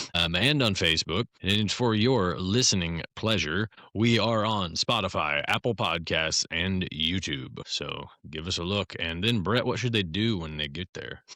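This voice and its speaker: The tone is bright and sharp, the intonation lively, and the pace fairly slow with hardly any pauses. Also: man, very deep, low pitch for a man, very clean recording, silent background. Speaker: podcast host. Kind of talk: casual chat. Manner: animated.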